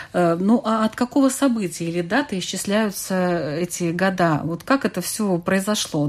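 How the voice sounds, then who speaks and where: A woman speaks at a fairly slow pace with a medium pitch and lively intonation. She has a plain, everyday voice. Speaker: radio host. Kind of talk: radio panel discussion. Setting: studio.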